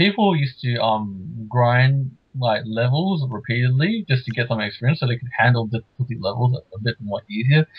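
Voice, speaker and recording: The man's medium-pitched voice is somewhat breathy, with ordinary pitch variation. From Australia. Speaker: podcast co-host. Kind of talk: casual chat.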